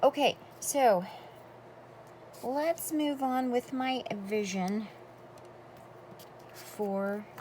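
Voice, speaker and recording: The woman sounds somewhat breathy, with ordinary pitch variation. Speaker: crafter. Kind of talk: tutorial. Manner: animated.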